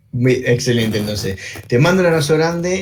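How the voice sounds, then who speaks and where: A man speaks in a strong Uruguayan accent with lively intonation. The room's echo can be heard. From Uruguay, interior. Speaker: online show host. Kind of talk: interview. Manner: halting, repetitive.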